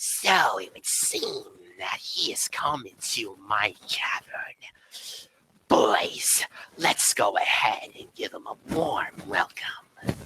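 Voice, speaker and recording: Very slowly, a raspy put-on character voice speaks in a menacing tone. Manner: menacing, welcoming with menace.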